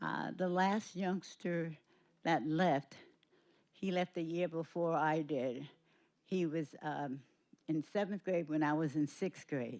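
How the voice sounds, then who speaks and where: With an American accent, a woman speaks at a very slow pace with long, frequent pauses in a very deep, low pitch. Her pitch variation is ordinary, and the background is quiet. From New Rochelle, New York. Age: 80s+. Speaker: longtime community elder. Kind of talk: speech at public meeting. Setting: school board meeting.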